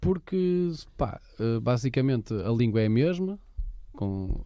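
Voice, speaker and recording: With very wide pitch swings around a medium pitch, a man speaks at a fairly slow pace. The background stays quiet. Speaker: podcast co-host. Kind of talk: casual chat.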